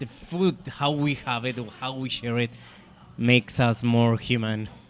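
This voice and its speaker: A man with a Spanish accent, medium pitch, fairly even intonation and a fairly slow pace. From Colombia. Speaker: chef and restaurant owner. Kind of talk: interview conversation. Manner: halting, with repetitions.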